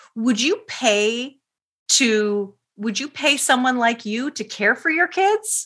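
Speaking at a very slow pace in a Canadian accent, a woman has a high pitch, a bright, sharp tone and lively intonation. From Canada. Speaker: parenting expert and author. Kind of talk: interview.

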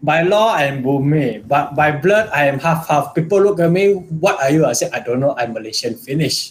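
An unremarkable speaking voice from a man, fairly high in pitch, with lively intonation, a moderate pace and hardly any pauses. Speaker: podcast guest. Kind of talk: casual discussion.

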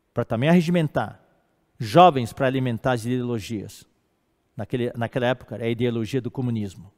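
Talking at a fairly quick pace, a man with a medium pitch and ordinary pitch variation is captured in a very clean recording with a silent background and a dry, close sound with no echo. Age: 60s. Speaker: preacher. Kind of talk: sermon. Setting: live stream. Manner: halting.

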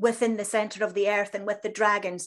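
A woman with a Scottish accent speaks at a fairly high pitch. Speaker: crystal healing practitioner. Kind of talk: interview.

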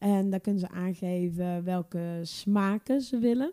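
A woman's dark, mellow voice at a fairly slow pace, with a dry, close sound and no echo. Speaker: cake baker, business owner. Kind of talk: casual interview.

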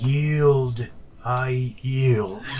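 Over clear background noise, a man performs a put-on character voice at a medium pitch. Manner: yielding, defeated.

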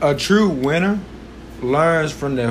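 A man's animated, fairly high voice at a fairly slow pace, with ordinary pitch variation, audible room echo and noticeable background noise. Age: 20s. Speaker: podcast host. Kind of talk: motivational monologue.

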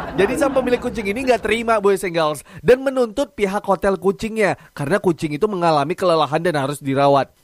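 This man has a high pitch and a bubbly, upbeat tone, talking at a fairly quick pace with lively intonation. The sound is dry and close, with no echo. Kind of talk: radio DJ patter, a recorded morning-show broadcast played back. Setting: studio. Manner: bubbly, upbeat, chatty; Jakarta slang mixed with English catchphrases; rapid-fire, excitable, jokes and laughs mid-sentence.

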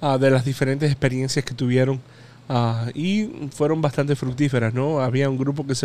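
A man with a medium-pitched, dark and mellow voice speaks with fairly even intonation. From Hialeah, Florida; Cuban-American. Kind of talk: casual radio chat with prayers.

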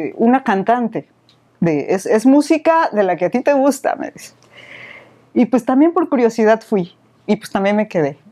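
Using a fairly high pitch with very wide pitch swings, a woman speaks in a dark, mellow tone at a fairly slow pace with long, frequent pauses. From Mexico, Veracruz port. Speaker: singer and former radio announcer. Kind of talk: casual interview.

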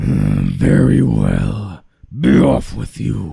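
A man puts on a character voice that is raspy. His pitch is very deep and low. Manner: gruff, grudging.

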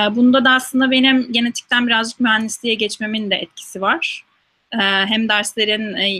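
A woman's fairly high voice at a moderate pace, with a dry, close sound and no echo. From Turkey, İzmir. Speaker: scientist. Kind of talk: interview Q&A. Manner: hesitant with frequent fillers.

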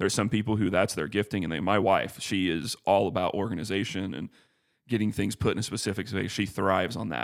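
Speaking very fast, the man keeps his voice at a fairly low pitch. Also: ordinary pitch variation, very clean recording, silent background. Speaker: church staff member, podcast co-host. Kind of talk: casual theological discussion. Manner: calm.

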